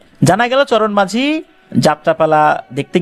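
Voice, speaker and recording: Music plays in the background. Over it, a man's high-pitched voice moves through very wide pitch swings. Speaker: radio horror story host. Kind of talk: horror radio storytelling of listener email stories.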